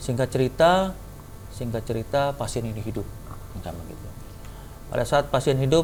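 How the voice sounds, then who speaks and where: Over music in the background, a man at a medium pitch speaks with lively intonation, big swings in loudness and long, frequent pauses. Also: moderate pace. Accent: Papuan. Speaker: heart and lung surgeon. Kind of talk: testimony. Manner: animated.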